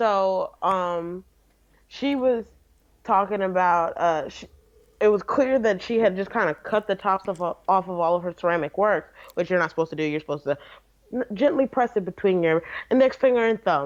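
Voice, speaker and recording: With an unremarkable speaking voice, a woman of medium pitch speaks at a moderate pace with lively intonation against a quiet background. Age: 20s. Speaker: livestream co-host, college student. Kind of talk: casual livestream chat.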